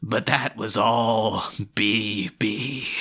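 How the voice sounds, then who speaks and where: A man puts on a character voice at a medium pitch. The voice is raspy. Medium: stage play. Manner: punning, joking.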